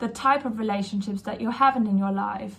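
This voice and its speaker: Over noticeable background noise, a woman with a non-native accent speaks in a fairly high voice with fairly even intonation. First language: not English. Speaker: mindset coach. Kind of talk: casual self-help talk to camera. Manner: hesitant, many fillers.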